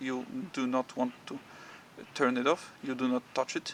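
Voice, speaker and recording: A man's voice against noticeable background noise. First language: Polish. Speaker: motorcycle owner and enthusiast. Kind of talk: tutorial. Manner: halting, many fillers and repetitions.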